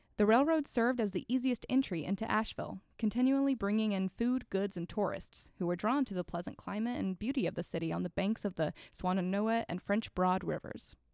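This is a woman with a normal speaking voice, medium in pitch and with ordinary pitch variation. She talks at a fairly quick pace in a very clean recording with a silent background. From North Carolina. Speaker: archivist. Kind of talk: scripted narration; casual chat.

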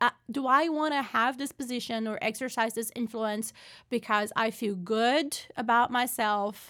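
Captured in a very clean recording with a silent background, a woman speaks fairly slowly in a bright, sharp tone at a fairly high pitch with ordinary pitch variation. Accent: Portuguese. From Brazil. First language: Portuguese. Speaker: political science professor. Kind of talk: interview. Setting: office.

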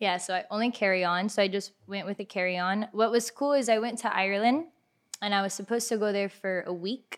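This woman talks at a very fast pace in a Miami accent. Her pitch sits in the medium range, with ordinary pitch variation. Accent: Miami American English. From Miami, Florida (Kendall). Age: 20s. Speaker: insurance agent. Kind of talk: casual chat.

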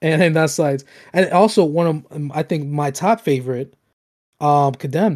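Ordinary pitch variation and a moderate pace come through on a very clean recording with a silent background. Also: man, fairly high pitch for a man. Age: 20s. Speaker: gaming podcast host. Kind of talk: casual chat. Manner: halting.

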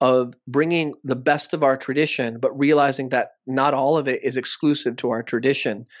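With an American accent, a man talks at a moderate pace in a monotone, flat way. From South Texas border (Rio Grande Valley). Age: 30s. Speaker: academic guest discussing socialism. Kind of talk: casual interview discussion.

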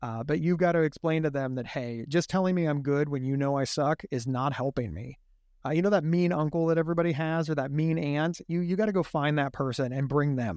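This man has a fairly high pitch with ordinary variation. He talks at a fairly quick pace. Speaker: mental health advocate and speaker. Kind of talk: casual interview conversation. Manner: halting, many repeated words.

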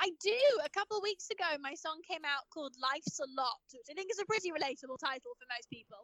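A woman's raised, projected voice at an extremely high pitch, bright and sharp, very fast with hardly any pauses, very wide pitch swings and big swings in loudness. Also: dry, close sound with no echo. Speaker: actress and co-host. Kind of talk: casual interview. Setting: at an industry party.

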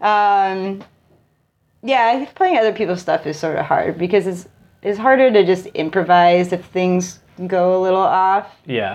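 A woman's normal speaking voice at a medium pitch, with an American accent, ordinary pitch variation, a fairly slow pace and a quiet background. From Connecticut, New Haven area. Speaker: musician and artist. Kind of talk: casual interview. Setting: at the guest's house.

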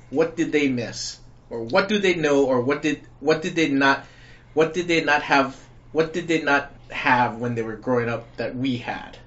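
This man speaks in an ordinary speaking voice, keeping a moderate pace and ordinary pitch variation. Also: fairly high pitch for a man. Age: 40s. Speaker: podcast co-host. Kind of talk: casual chat.

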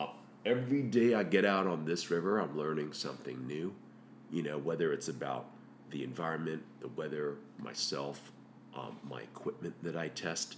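A man's very deep, low-pitched voice with vocal fry and lively intonation, in audible room echo. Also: moderate pace. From Hong Kong. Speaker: paddleboard guide service owner. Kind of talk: casual interview. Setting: kitchen table at home.

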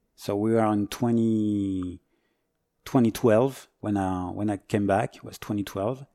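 Dark and mellow in tone, a man's voice holds fairly even intonation. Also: very clean recording, silent background. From France, Paris suburbs. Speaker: firefighter. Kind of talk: casual interview. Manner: halting.

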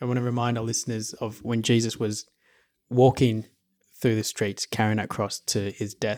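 Recorded very cleanly against a silent background with a dry, close sound and no echo, a man with an Australian accent talks at a moderate pace and medium pitch in a monotone, flat intonation. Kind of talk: casual Bible discussion.

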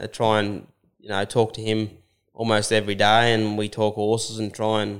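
Here a man talks fairly quickly at a fairly low pitch, with an Australian accent. The recording is very clean, with a silent background. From New South Wales, Australia. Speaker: cutting horse trainer and rider. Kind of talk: casual interview. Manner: halting, many repeats and fillers.

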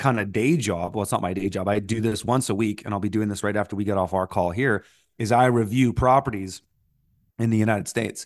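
A man's fairly low voice with ordinary pitch variation, a normal speaking voice, and a Canadian accent, set against a quiet background. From Canada. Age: 40s. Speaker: farmer and entrepreneur. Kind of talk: casual interview.

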